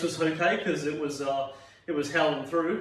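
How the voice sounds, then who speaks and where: An Australian accent with audible room echo. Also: man. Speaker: fitness instructor. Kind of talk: exercise class instruction. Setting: at home. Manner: fast; energetic.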